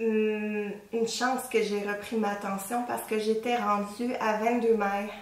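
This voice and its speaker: A woman at a fairly high pitch in a Quebec accent, very slow pace and monotone, flat intonation, with audible room echo and noticeable background noise. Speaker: knitting podcaster. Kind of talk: casual show-and-tell talk. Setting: at home. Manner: hesitant, many fillers.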